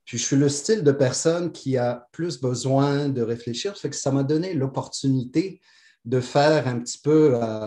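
This man talks at a fairly slow pace with a medium pitch. His tone is dark and mellow, with ordinary pitch variation. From Morocco. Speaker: podcast guest. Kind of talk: casual spiritual interview.

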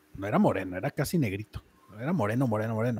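With a Mexican accent, a man speaks in a dark, mellow tone and lively intonation, recorded dry and close with no echo. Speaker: podcast host. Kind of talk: casual chat. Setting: live stream.

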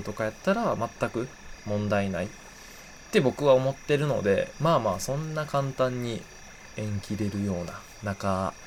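With a Kansai accent, the speaker talks at a moderate pace with ordinary pitch variation over noticeable background noise. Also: man. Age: 20s. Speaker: podcast host. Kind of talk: casual solo talk.

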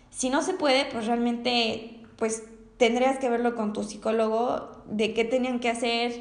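With audible room echo, a woman speaks at a fairly high pitch in a monotone, flat intonation. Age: young. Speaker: podcaster and university student. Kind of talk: personal testimony monologue. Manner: halting, with frequent word repetitions.

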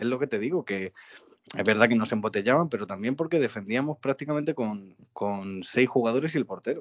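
Quickly paced and lively in intonation, a man speaks. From Getafe, Madrid, Spain. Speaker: football podcast co-host. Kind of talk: casual chat. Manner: animated.

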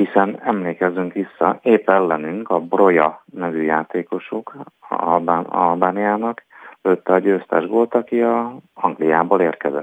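A man talks at a very slow pace in a very deep, low pitch. The sound is dry and close with no echo, and his pitch varies in an ordinary way. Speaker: sports journalist. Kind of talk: casual sports chat.

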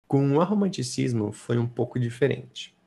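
On a very clean recording with a silent background, a man speaks at medium pitch. His voice is somewhat breathy and his pace fairly slow. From São Paulo state, Brazil. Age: 20s. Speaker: artist and slam poet. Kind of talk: casual interview chat.

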